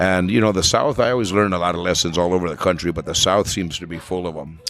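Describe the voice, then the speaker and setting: A man speaks very fast in a very deep, low voice with ordinary pitch variation, and noticeable background noise can be heard. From New Mexico. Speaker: flamenco vocalist. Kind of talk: podcast interview.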